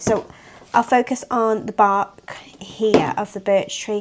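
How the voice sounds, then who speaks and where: Noticeable background noise is present here. The woman's voice rests at a medium pitch. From northern England, Wirral. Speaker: nature journaling artist, art tutor. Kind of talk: tutorial. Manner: casual, hesitant with fillers.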